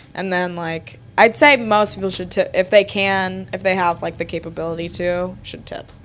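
In an American accent, a woman with an unremarkable speaking voice talks at medium pitch and a moderate pace, with hardly any pauses and big swings in loudness. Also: ordinary pitch variation. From Connecticut, Fairfield County. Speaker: podcast guest. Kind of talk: casual chat over drinks.

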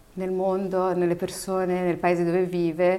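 The woman's voice sits at a medium pitch and moves at a fairly slow pace. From Morocco, Berber family, raised in Italy from about age 9. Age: 30s. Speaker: TV presenter and actress. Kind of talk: interview. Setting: studio.

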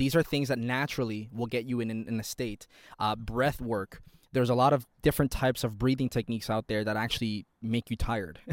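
Fairly quick and at a medium pitch, a man speaks with fairly even intonation in a dry, close sound with no echo. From Toronto, Canada. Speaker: podcast host. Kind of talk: solo monologue podcast. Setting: outdoors in a park, train passing. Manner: fast talker; informal, candid.

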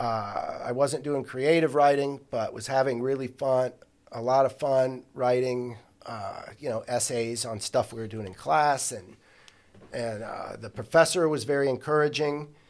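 With an unremarkable speaking voice, a man talks at a fairly slow pace and medium pitch, his pitch varying in an ordinary way while his loudness swings widely. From Ohio (Columbus area), from age ten; born in St. Louis. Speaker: podcast guest, counselor and writer. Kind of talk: casual interview.

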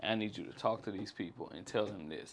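A man speaks with ordinary pitch variation. Behind him, the background stays quiet. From Jackson, Mississippi. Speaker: rapper. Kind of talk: casual interview.

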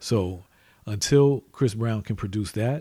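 A man's somewhat breathy, fairly low voice with a dark, mellow tone, ordinary pitch variation and a fairly slow pace. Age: 40s. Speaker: podcast host, father of co-host. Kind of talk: casual chat.

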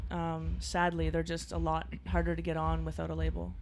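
In a Maritime Canadian accent, the speaker talks at a fairly quick pace. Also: woman. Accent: Canadian (Maritimes). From Halifax, Nova Scotia, Canada. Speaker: singer-songwriter. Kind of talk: interview.

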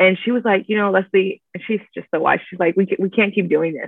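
At a fairly quick pace, a woman with an American accent talks at a medium pitch in an unremarkable speaking voice, with ordinary pitch variation. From Miami, Florida. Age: 20s. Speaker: church events coordinator. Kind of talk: casual interview.

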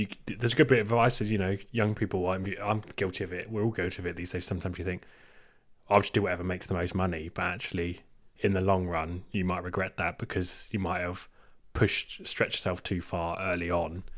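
A man's very deep, low voice with an English accent, fairly quick in pace and fairly even in intonation. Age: 20s. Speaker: podcast co-host. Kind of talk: casual chat.

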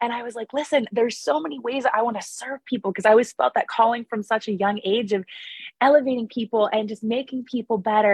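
Speaking at a very fast pace with an American accent, a woman sounds animated and uses ordinary pitch variation. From US, Pittsburgh area. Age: 30s. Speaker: small business owner. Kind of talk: podcast interview.

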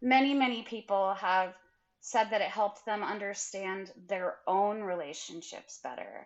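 Speaking at a fairly slow pace, a woman with an American accent has a normal speaking voice, medium pitch and ordinary pitch variation. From rural Idaho. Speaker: memoirist and English professor. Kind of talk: interview.

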